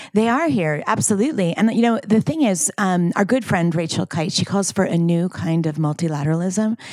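A woman with a plain, everyday voice, medium in pitch, with lively intonation, very even loudness and hardly any pauses. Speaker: climate finance retreat organizer. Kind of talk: casual chat. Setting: country house retreat in Scotland.

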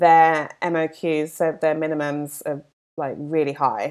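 On a very clean recording with a silent background, a woman with a London accent speaks at a fairly slow pace, her pitch very deep and low. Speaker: skincare brand founder. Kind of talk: casual interview.

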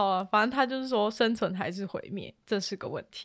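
On a very clean recording with a silent background, a woman speaks at a moderate pace in a fairly high pitch with ordinary pitch variation. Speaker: podcast host. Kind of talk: casual chat.

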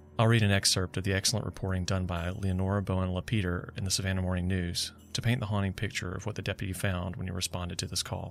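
A man with a Southern US accent talks at a very fast pace, his very deep, low pitch held in a monotone, flat intonation. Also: hardly any pauses, very clean recording, silent background. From US South. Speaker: true crime podcaster. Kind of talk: true-crime narration, solemn storytelling. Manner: grave, measured; steady, dramatic.

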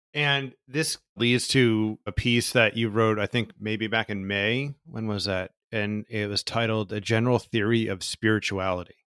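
A man with an American accent has an ordinary speaking voice, a medium pitch and a fairly slow pace with hardly any pauses. The recording is very clean with a silent background and a dry, close sound with no echo. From New Jersey, US. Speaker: podcast host. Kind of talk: scripted narration; interview conversation.

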